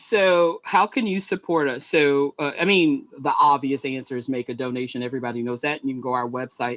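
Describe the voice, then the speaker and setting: With a Southern US accent, a woman speaks at a very deep, low pitch and a fairly quick pace, with hardly any pauses. Her intonation is lively, and the sound is dry and close with no echo. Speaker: nonprofit executive director. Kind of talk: interview.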